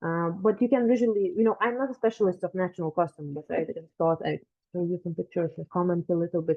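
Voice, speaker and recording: A woman's fairly low voice with a Lithuanian accent, very fast pace and ordinary pitch variation. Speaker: genealogy researcher and lecturer. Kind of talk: lecture. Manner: halting, many fillers.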